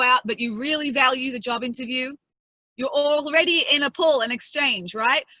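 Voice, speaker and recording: Raising and projecting her voice, a woman with an Australian accent speaks at high pitch and a fairly quick pace. Her tone is bright and sharp, with ordinary pitch variation. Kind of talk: lecture. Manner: fast.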